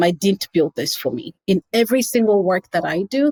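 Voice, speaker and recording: A woman speaks with a Kenyan accent at a medium pitch. Her pitch variation is ordinary, and the sound is dry and close with no echo. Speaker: nonprofit founder. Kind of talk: interview.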